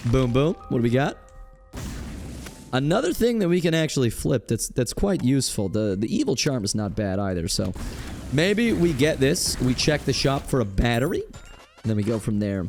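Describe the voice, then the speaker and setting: Over noticeable background noise, a man at a medium pitch speaks at a moderate pace with very wide pitch swings. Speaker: gaming YouTuber. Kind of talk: gameplay commentary. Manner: casual, thinking aloud.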